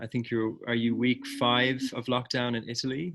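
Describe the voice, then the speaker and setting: Speaking with an Irish accent, a man keeps a medium pitch and fairly even intonation. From rural Ireland. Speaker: discussion facilitator. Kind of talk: group video call discussion.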